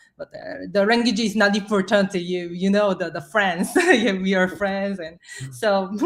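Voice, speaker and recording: A woman of medium pitch talks at a fairly slow pace with ordinary pitch variation and big swings in loudness, over noticeable background noise. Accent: non-native. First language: not English. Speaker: artist. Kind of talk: interview. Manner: halting, searching for words.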